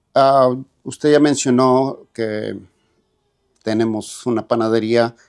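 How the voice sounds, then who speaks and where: Speaking with a central Mexican accent, a man at a medium pitch moves at a very slow pace with long, frequent pauses and monotone, flat intonation. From central Mexico, rural State of Mexico. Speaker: immigrant bakery owner. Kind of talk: interview testimony. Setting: podcast studio. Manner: halting, many fillers.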